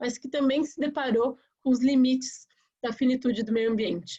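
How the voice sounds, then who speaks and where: The woman's voice has a dark, mellow tone and fairly even intonation, and she speaks at a moderate pace. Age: 30s. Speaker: politician, mayoral candidate. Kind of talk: campaign presentation in a webinar. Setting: online webinar.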